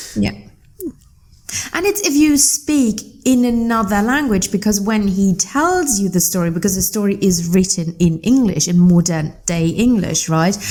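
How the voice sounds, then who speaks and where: With a non-native accent, a woman speaks at a medium pitch in a dark, mellow tone. Her voice is somewhat breathy and her intonation lively. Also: moderate pace. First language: not English. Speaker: podcast guest. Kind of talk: casual chat. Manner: animated.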